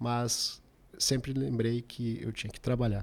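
A man's medium-pitched voice, fairly slow and fairly even in intonation. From Porto Alegre, southern Brazil. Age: 40s. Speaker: restaurant owner. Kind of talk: interview.

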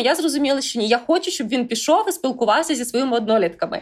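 Speaking at a fairly quick pace with lively intonation, a woman is heard on a very clean recording with a silent background. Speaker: podcast host. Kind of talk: interview.

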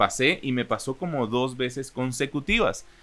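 A man with a medium pitch speaks at a fairly slow pace in an ordinary speaking voice. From Guatemala, Chiquimula (east). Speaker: voice-over announcer. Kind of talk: interview.

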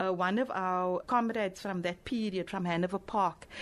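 A woman speaks in a South African accent at a moderate pace, her medium pitch showing ordinary variation. The background is quiet. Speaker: poet and singer. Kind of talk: interview. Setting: live event at a library.

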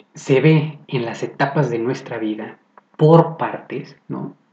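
Speaking at a very slow pace with a Mexican accent, a man has a dark, mellow tone. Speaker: podcaster. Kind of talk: casual monologue. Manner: sarcastic tones.

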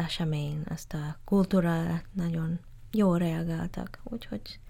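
In an English accent, a woman speaks very slowly, her fairly low voice dark, mellow and somewhat breathy. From Malaysia, Malacca (Straits Chinese). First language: English (speaking Hungarian). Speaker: gallery founder. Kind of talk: interview. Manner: halting.

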